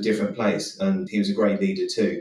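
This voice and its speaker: The speaker is a man. He has a southern English accent. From southern England (Eastbourne, Sussex). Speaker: insurance claims executive. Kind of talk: interview. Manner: frequent repetitions and self-restarts.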